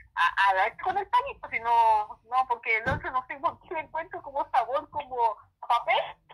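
A woman with a Chilean accent speaks at a high pitch, her voice making very wide pitch swings. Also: moderate pace. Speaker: YouTuber. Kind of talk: casual chat. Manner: animated.

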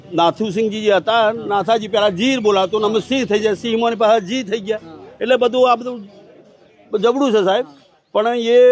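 There is fairly even intonation as a man talks at a high pitch. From Gujarat, India (village near Idar). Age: 60s. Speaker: village elder, former soldier. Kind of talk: interview about local history. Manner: halting.

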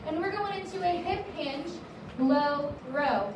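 A woman's high voice at a fairly slow pace, with ordinary pitch variation, audible room echo and noticeable background noise. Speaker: fitness instructor. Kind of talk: workout class instruction. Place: gym.

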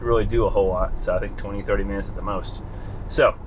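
A man rattles along at a very fast pace over light background noise. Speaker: car owner vlogger. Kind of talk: casual vlog chat. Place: car. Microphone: phone near.

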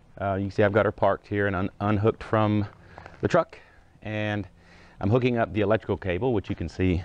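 A man's fairly low voice at a fairly quick pace, dry with no echo, music playing behind. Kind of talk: tutorial. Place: street. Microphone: lapel.

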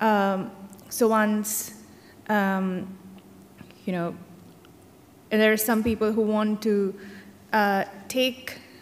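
The speaker talks with an Indian accent in a monotone, flat intonation over light background noise. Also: woman. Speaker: data scientist. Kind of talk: panel discussion. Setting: stage with audience. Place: stage. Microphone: studio mic.

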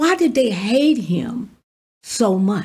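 A woman speaks at a very slow pace. The background is quiet. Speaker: pastor. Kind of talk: sermon. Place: studio. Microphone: studio mic.

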